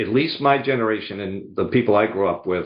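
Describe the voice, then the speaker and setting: A man speaks at a medium pitch and moderate pace, with lively intonation. He has a slight Boston accent. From US Northeast, outside Boston, Massachusetts. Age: 70s. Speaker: sales coach and speaker. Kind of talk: podcast interview.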